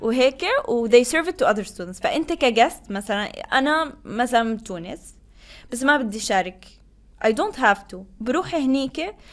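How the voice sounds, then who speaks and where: Her pitch high and her intonation lively, a woman speaks at a moderate pace with big swings in loudness. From Tunisia, Tozeur; also lived in Qatar. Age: 20s. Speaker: international student office staff and graduate student. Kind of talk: interview conversation.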